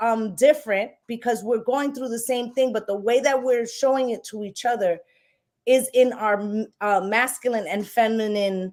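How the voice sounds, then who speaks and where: A woman speaks in a New York accent. The recording is very clean, with a silent background. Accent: New York City. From New York City, Puerto Rican heritage. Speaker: tarot reader and live-stream host. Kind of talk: casual discussion on live stream. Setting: live stream. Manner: speaks with conviction.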